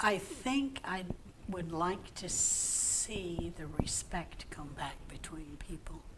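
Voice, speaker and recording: Whispering at a very slow pace with big swings in loudness, a woman is heard through audible room echo and noticeable background noise. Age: 70s. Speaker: senior center member. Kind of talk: interview.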